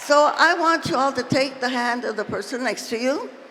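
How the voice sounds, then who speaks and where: Lively intonation over noticeable background noise. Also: woman. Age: 80s+. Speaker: labor and civil rights leader. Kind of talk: political speech to convention. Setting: convention stage, PA system.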